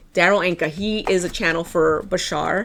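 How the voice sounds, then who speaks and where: A woman's fairly low voice with vocal fry and an American accent. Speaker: tarot card reader. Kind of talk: tarot reading. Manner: casual.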